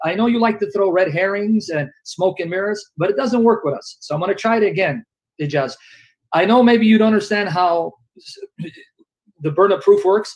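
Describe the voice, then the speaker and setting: A man speaks loudly in a high pitch with ordinary pitch variation, leaving long, frequent pauses. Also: fairly quick pace. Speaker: debater. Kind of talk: heated debate.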